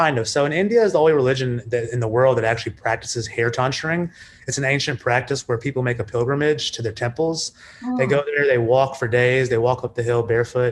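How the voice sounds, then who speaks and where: Over noticeable background noise, a man with an American accent talks at a very fast pace, at a medium pitch and with fairly even intonation. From New York City, USA. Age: 30s. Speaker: businessman. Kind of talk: podcast interview answer. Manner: casual, conversational.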